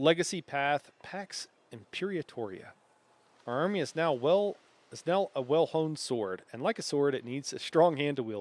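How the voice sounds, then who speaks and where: Fairly high-pitched for a man, he talks at a moderate pace with lively intonation and big swings in loudness, in a dry, close sound with no echo. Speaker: gaming streamer. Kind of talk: live stream gameplay commentary. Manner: loud, projecting.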